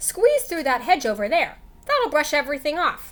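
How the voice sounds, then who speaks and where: At a moderate pace, a woman speaks in a put-on character voice with a high pitch. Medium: read story. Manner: snorting, oinking.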